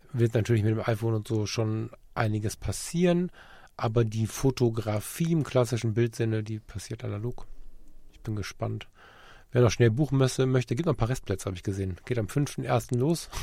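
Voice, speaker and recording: The tone is dark and mellow and somewhat breathy, at a fairly quick pace. The recording is very clean, with a silent background. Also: man, medium pitch for a man, ordinary pitch variation. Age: 40s. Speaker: podcast co-host and photographer. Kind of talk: casual chat.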